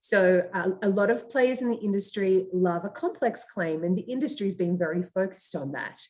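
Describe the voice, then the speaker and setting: The intonation rises and falls in a lively way. An Australian accent is audible. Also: woman. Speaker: startup founder and CEO. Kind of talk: interview.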